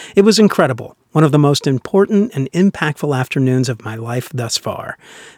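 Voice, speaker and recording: Speaking at a fairly quick pace, a man uses a normal speaking voice at a medium pitch. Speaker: podcast host. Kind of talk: scripted news-style storytelling, warm retelling of a fairy tale. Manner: upbeat, gentle, warm; light, playful, conversational asides.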